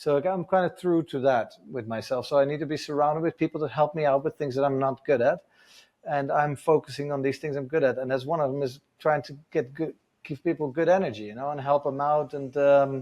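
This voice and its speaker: A man with a Dutch accent, fairly high in pitch, fairly even in intonation, at a fairly quick pace. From Netherlands. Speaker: adventure motorcycle tour business owner. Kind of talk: casual podcast interview.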